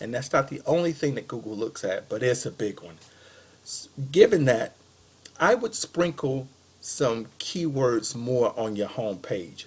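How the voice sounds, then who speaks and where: A normal speaking voice with lively intonation and big swings in loudness. The pace is fairly slow. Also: man, medium pitch for a man. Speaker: web marketing consultant. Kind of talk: recorded sales pitch to a business. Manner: casual with many fillers.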